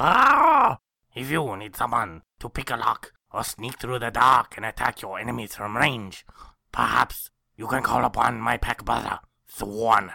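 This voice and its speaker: Using a put-on character voice, a man talks at a moderate pace and medium pitch. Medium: actual play. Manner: theatrical, declaiming.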